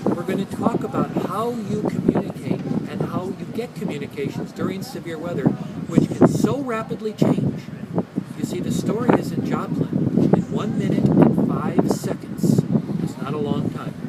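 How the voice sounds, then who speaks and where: Noticeable background noise under a high male voice with ordinary pitch variation. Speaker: climatology professor. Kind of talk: interview. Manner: fast; animated.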